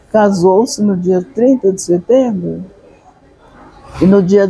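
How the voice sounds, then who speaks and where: Against noticeable background noise, a woman with a medium pitch speaks fairly slowly with lively intonation. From northern São Paulo state, Brazil (Franca region). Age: 80s+. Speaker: author. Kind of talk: interview. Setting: literary festival venue.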